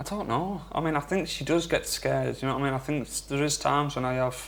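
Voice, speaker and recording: With a Geordie accent, a man talks at a very fast pace. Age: young. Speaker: father of triplets. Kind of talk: emotional confession.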